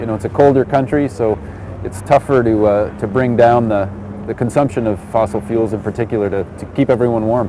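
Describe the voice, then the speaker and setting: A man's fairly quick, fairly even-toned speech, dry with no echo, over noticeable background noise. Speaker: city mayor. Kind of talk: interview answer. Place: street.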